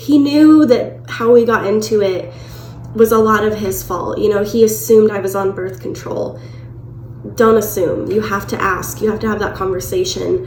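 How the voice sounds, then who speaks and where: Speaking at a moderate pace, the voice swings very widely in pitch, with noticeable background noise and audible room echo. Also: woman, medium pitch for a woman. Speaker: vlogger. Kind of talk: personal storytelling vlog.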